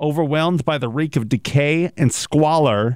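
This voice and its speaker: A man with a plain, everyday voice speaks at a moderate pace, fairly high in pitch and with lively intonation. The recording is very clean with a silent background, dry and close with no echo. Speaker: podcast host.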